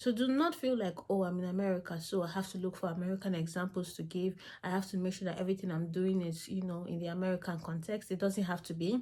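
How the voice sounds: A woman's fairly low, dark, mellow voice at a fast pace, with fairly even intonation and few pauses.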